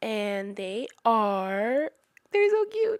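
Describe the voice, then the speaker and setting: A woman at a fairly high pitch and very slow pace, in a very clean recording with a silent background and a dry, close sound with no echo. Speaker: booktuber. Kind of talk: casual book review vlog.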